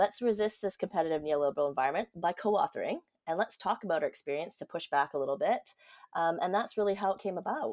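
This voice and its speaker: Talking at a very fast pace with a Canadian accent, a woman uses lively intonation at a medium pitch, the sound dry and close with no echo. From Canada, Vancouver. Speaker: university lecturer. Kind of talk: interview.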